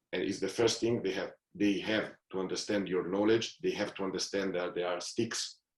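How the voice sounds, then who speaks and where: A man with an Italian accent, fairly low in pitch, monotone and flat in intonation, at a moderate pace. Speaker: football manager. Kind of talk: podcast interview. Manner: halting.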